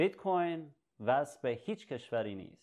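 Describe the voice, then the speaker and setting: A man at a very slow pace, with ordinary pitch variation, against a quiet background. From Iran, left at age 9. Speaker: educational video host. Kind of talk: tutorial. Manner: halting. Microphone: webcam.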